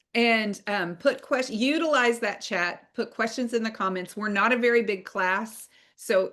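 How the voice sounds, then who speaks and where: A woman with a normal speaking voice, fairly high in pitch, with ordinary pitch variation, a fairly slow pace and a quiet background. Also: hardly any pauses. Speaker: online course instructor. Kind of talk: online class lecture.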